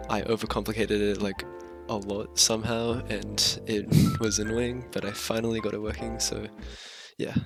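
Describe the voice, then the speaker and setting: With music in the background, a man speaks at a moderate pace, his intonation fairly even. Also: fairly low pitch for a man. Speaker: hobbyist game programmer. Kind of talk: casual coding commentary. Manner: casual, hesitant.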